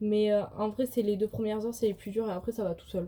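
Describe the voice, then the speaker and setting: Talking very fast, a woman with a fairly high pitch and a dark, mellow tone keeps her intonation fairly even. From southwestern France, countryside. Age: 20s. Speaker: vlogger and student. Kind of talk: casual vlog Q&A. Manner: hesitant, many fillers.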